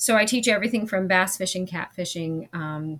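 A woman with an American accent and a fairly low pitch speaks at a moderate pace in a normal speaking voice, with ordinary pitch variation. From California. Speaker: fly-fishing instructor and outdoors educator. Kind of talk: casual interview.

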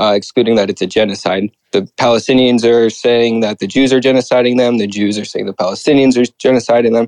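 A man talks at a fairly quick pace in a normal speaking voice, with ordinary pitch variation and a dry, close sound with no echo. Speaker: caller. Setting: video call.

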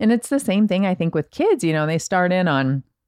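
The speaker talks at a moderate pace with ordinary pitch variation. The sound is dry and close, with no echo. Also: woman. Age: 40s. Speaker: writer. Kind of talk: casual chat.

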